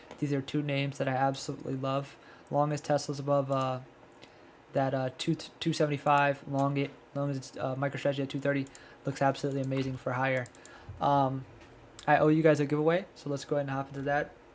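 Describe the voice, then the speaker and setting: A soft-spoken man talks very fast in a fairly high, monotone, flat voice. He leaves long, frequent pauses. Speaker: stock trading streamer. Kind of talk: live stream market breakdown. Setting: livestream. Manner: low energy.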